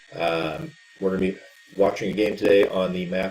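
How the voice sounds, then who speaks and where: A man speaks at a fairly quick pace with lively intonation while noticeable background noise plays behind him. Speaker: esports caster. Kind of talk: live game commentary.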